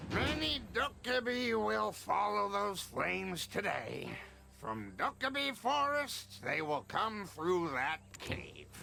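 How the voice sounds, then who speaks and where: A man speaks in a put-on character voice at a fairly slow pace with very even loudness. Clear background noise is present. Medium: video game. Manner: gruff, knowing.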